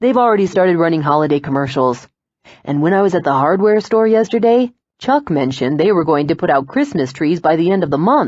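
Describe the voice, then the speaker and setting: A put-on character voice, husky and at a middle pitch. The delivery moves at a fairly quick pace. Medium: read story. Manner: easygoing, joking.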